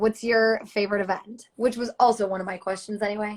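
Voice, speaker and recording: The speaker talks at a fairly quick pace with a Buffalo accent. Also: woman. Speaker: livestream host. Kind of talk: live Q&A interview. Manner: upbeat.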